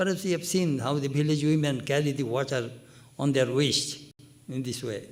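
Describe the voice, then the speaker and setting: Audible room echo surrounds a man speaking at a moderate pace. His pitch is fairly high with ordinary variation. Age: 80s+. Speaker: monk. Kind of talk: spiritual discourse.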